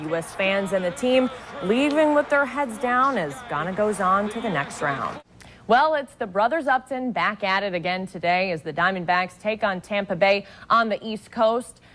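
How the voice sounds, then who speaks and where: The speaker has an unremarkable speaking voice with lively intonation. The pace is moderate. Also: woman, medium pitch for a woman. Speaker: news anchor / reporter. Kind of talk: sports news segment.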